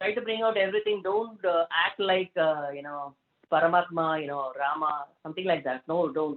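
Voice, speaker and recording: A woman with an American accent, at a moderate pace with lively intonation. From South India. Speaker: motivational speaker. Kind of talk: interview Q&A. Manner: hesitant, many fillers.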